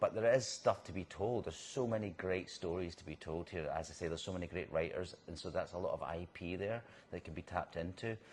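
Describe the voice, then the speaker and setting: A man speaks in a Scottish accent with a very deep, low pitch. His voice has vocal fry and ordinary pitch variation. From Scotland. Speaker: actor. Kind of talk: interview. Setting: on location in a bar.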